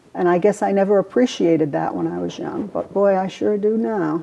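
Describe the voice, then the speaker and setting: A woman is speaking. She has an American accent. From US Northeast, Providence, Rhode Island. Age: 60s. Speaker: grandmother interviewee. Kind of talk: oral history interview. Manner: halting, many fillers and repeats.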